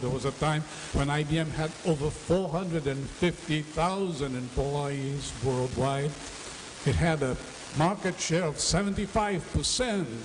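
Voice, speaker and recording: Audible room echo and noticeable background noise surround a man who speaks at a moderate pace with ordinary pitch variation. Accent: Portuguese. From Brazil. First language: Portuguese. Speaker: education speaker. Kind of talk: conference lecture.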